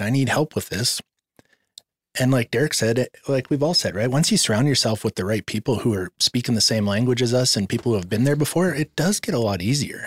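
A man with a medium-pitched, somewhat breathy voice speaks at a fairly quick pace with lively intonation. His loudness stays very even on a very clean recording with a silent background. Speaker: person in recovery from addiction. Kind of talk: testimony.

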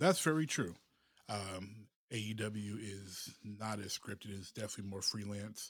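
A man speaks in a plain, everyday voice, fairly low in pitch with ordinary pitch variation. His loudness swings widely. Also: moderate pace. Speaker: podcast host. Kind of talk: casual chat.

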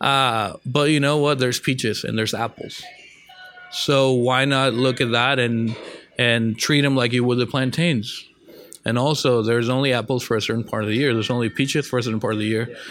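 With an American accent, a man talks at a fairly quick pace and medium pitch with fairly even intonation, over noticeable background noise. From northern Mexico and Texas. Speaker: chef. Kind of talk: interview. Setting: restaurant.

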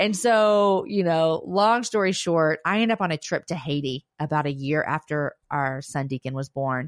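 A woman with a normal speaking voice talks at a moderate pace with hardly any pauses, lively intonation and a fairly low pitch. The recording is very clean, with a silent background and a dry, close sound with no echo. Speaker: podcast host and author. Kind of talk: casual interview chat.

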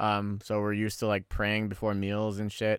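A man with a Californian accent and a fairly low pitch talks at a moderate pace. The recording is very clean with a silent background, and the sound is dry and close with no echo. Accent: Californian American English. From San Francisco Bay Area, California (born in the Philippines). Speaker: podcast co-host. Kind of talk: casual chat.

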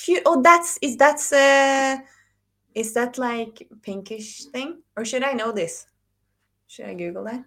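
A woman with a Norwegian accent speaks at a very slow pace and a high pitch, with lively intonation and big swings in loudness. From Norway. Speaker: data consultant. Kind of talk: casual chat.

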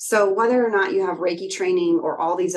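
At a moderate pace, a woman speaks in a plain, everyday voice with medium pitch and ordinary pitch variation. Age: 40s. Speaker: energy healer and mindset coach. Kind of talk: casual interview.

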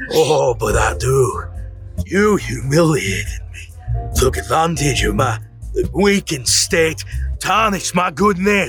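A man speaks in a put-on character voice at a fairly slow pace. Clear music plays in the background. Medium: audio drama.

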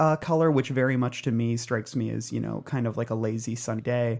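Heard in a very clean recording with a silent background, a man has an ordinary speaking voice, medium pitch, fairly even intonation and a moderate pace. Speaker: film critic and writer.

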